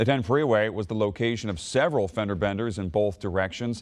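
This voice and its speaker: With an unremarkable speaking voice, a man talks at a fairly quick pace and a fairly low pitch. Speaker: news anchor. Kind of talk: TV news anchor read.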